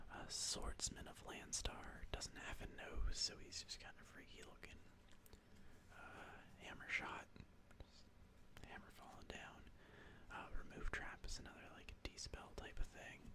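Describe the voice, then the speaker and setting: The voice is whispering. Long, frequent pauses break up the speech. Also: fairly slow pace. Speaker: ASMR content creator. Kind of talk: casual talk to camera while reading card names; ASMR video.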